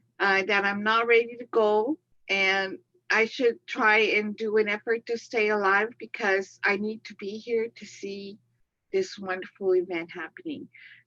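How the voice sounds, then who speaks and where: A woman speaks at a fairly high pitch and a fairly slow pace, with fairly even intonation. Her loudness swings widely, and the sound is dry and close with no echo. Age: 60s. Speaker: webinar participant seeking a reading. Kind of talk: casual chat. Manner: halting.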